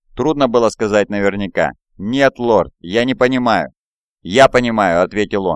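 With little noise around, pitch shifting in an ordinary way, someone reads aloud in a natural voice.

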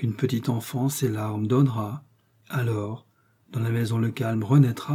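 This plain reading aloud keeps its intonation fairly even.

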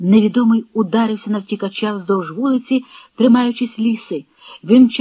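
Intonation stays fairly even as the text is read aloud plainly.

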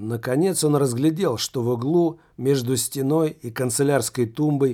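A natural reading voice, its pitch shifting by an ordinary amount

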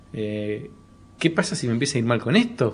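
In a Rioplatense accent, a man talks at a moderate pace. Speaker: comedy podcast host. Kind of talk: casual interview.

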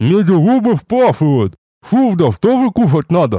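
In a put-on character voice, a man speaks nasally at a moderate pace, high-pitched, with very wide pitch swings. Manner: miserable.

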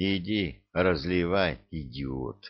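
Using a put-on character voice, a man speaks in a very deep, low pitch with lively intonation and a hissing sound.

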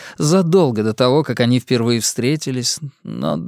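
Throughout, an unforced reading voice is heard.

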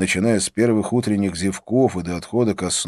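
The speaker uses a natural reading voice. The words are read aloud.

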